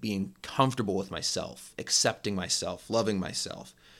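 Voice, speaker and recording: With ordinary pitch variation and at a moderate pace, a man talks in a plain, everyday voice. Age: 20s. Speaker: podcast host. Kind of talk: solo reflective monologue.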